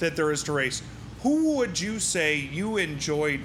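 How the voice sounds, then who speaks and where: Amid noticeable background noise and audible room echo, a man with an American accent speaks at a fairly slow pace. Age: 40s. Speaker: podcast host. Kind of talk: casual interview. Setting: racing shop.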